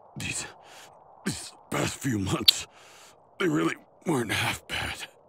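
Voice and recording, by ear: A man uses a cartoonish character voice at a medium pitch with a husky, rough edge and vocal fry. His tone is fairly bright, his pace slow and his intonation lively.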